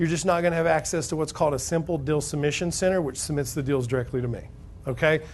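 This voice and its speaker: A man with an American accent, fairly high-pitched, talking at a very fast clip with ordinary pitch variation, some room echo audible. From Alabama. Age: 30s. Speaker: real estate investing seminar speaker. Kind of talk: sales pitch. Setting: stage with audience. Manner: loud; animated.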